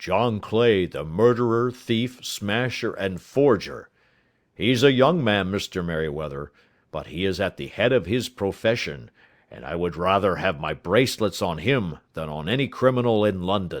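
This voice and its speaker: A man does a put-on character voice that is raspy and fairly low, with lively intonation and big swings in loudness. He keeps a moderate pace on a very clean recording with a silent background. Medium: read story. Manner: blunt, hearty.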